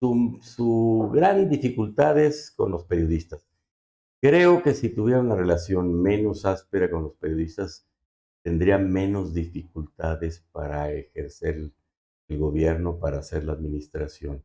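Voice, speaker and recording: This man's very deep, low voice has a dark, mellow tone and lively intonation, delivered at a fairly slow pace. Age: 70s. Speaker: politician. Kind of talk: interview.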